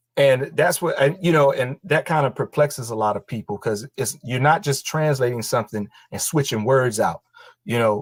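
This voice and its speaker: A man with a Southern US accent and a fairly high pitch speaks at a moderate pace with ordinary pitch variation, sounding somewhat breathy in a dry, close sound with no echo. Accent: Southern country. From North Carolina, rural. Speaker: language teacher. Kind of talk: interview. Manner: casual, relaxed.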